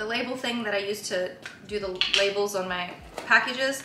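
Noticeable background noise sits under a woman talking with fairly even intonation. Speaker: lifestyle vlogger. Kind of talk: casual vlog chat. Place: kitchen. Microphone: camera far.

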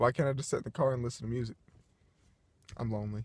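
The man's voice is somewhat breathy, and the sound is dry with no echo. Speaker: vlogger. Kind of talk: casual vlog chat. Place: car. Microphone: phone near.

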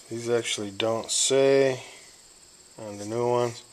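His intonation fairly even, a man speaks. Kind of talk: casual tutorial narration. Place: workshop. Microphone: phone near.

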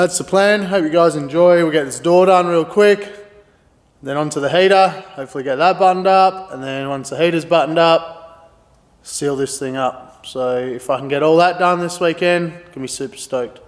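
A man with a high pitch speaks at a moderate pace, with ordinary pitch variation. His loudness swings widely over a quiet background. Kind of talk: casual vlog chat. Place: garage. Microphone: phone near.

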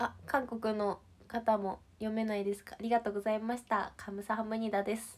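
Here a woman speaks in a fairly high pitch. Her loudness swings widely. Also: moderate pace. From Shizuoka, Japan; Japan. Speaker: idol livestreamer. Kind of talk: casual livestream chat with viewers. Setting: online livestream. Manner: cheerful, animated. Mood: cheerful, friendly. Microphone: phone near.

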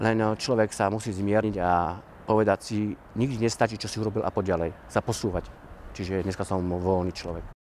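Using a normal speaking voice, a man talks at a moderate pace with a fairly low pitch and fairly even intonation, the sound dry with no echo and light background noise present. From Slovakia, Orava region; Slovakia. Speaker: dancer and theatre organiser. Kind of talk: interview. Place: open country. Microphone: lapel.

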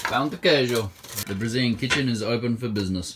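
Speaking at a fast pace with medium pitch, a man has a fairly bright tone and ordinary pitch variation, with audible room echo around him.

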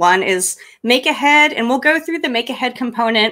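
A woman uses a raised, projected voice with a high pitch and a bright, sharp tone. Her intonation is lively, her pace fairly slow, and the background is quiet. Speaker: cocktail tutorial presenter; presenter. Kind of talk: tutorial. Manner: hesitant, many ums. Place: home room. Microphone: studio mic.

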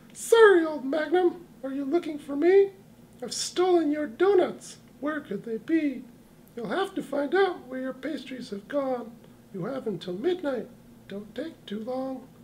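This is a cartoonish character voice with a high pitch. It moves at a moderate pace. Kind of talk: comic overacting. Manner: taunting, sing-song, gleeful, rhyming.

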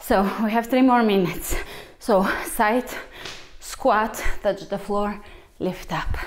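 A woman talks at a very slow pace. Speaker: fitness instructor. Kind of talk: workout instruction. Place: empty room.

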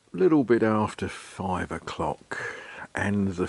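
The man's delivery comes at a very slow pace. No echo, just a dry sound. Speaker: vlogger. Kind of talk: casual vlog chat. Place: street. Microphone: phone near.

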